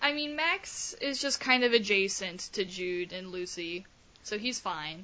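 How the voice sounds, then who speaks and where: A woman at a medium pitch talks at a fairly slow pace over noticeable background noise. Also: lively intonation. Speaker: podcast host. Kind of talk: casual chat. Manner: animated, enthusiastic.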